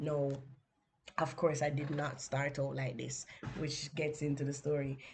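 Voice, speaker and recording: A woman with a Jamaican accent speaks at a fairly slow pace in a very deep, low voice. Her tone is dark, mellow and somewhat breathy, with monotone, flat intonation. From Jamaica, Kingston inner city. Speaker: podcast host and book coach. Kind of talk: personal story on a podcast. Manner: conversational, with fillers.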